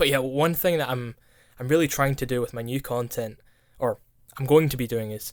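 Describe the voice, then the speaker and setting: On a very clean recording with a silent background, a man with a Scottish accent and a medium pitch speaks at a fairly quick pace, with fairly even intonation and long, frequent pauses. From Scotland. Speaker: streamer and YouTuber. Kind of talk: casual chat. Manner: halting, repeats words.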